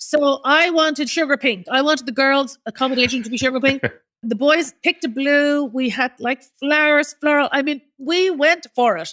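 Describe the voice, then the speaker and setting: A woman with a high pitch and a bright, sharp tone talks at a moderate pace with ordinary pitch variation, the sound dry and close with no echo on a very clean recording with a silent background. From Ireland. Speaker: charity founder. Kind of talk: interview answer.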